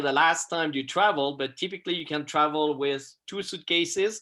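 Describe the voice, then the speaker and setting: A man's fairly high, bright, sharp voice with a Swiss French accent, at a moderate pace. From Switzerland, French-speaking. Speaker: photographer. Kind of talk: presentation to a class over video call. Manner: halting, many fillers.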